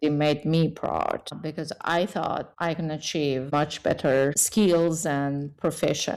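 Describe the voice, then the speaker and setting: In a very clean recording with a silent background, a woman with a Persian accent speaks at a very slow pace in a very deep, low pitch with fairly even intonation. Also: hardly any pauses. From Iran. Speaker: engineer and tech leader. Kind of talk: interview. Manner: halting.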